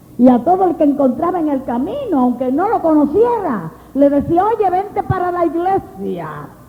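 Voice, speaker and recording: A woman speaks at an extremely high pitch in an animated tone, with lively intonation, a moderate pace and hardly any pauses. Audible room echo and noticeable background noise are present. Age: 60s. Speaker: preacher. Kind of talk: sermon.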